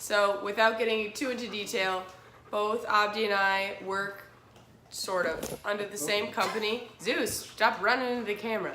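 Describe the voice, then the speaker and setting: A woman talks with fairly even intonation and long, frequent pauses. The room echo is audible. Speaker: fitness vlogger. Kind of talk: casual vlog chat. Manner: casual, with many fillers.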